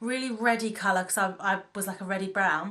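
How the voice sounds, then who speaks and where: A woman with a British accent, bright and sharp in tone, at a fairly quick pace. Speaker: beauty vlogger. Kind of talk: casual vlog talk. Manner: fast.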